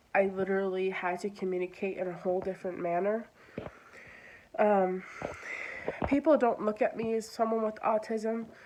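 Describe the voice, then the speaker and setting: Noticeable background noise runs under a woman speaking at a moderate pace. She leaves long, frequent pauses. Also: medium pitch for a woman, ordinary pitch variation. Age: 20s. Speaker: vlogger. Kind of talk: personal monologue. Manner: hesitant, many fillers.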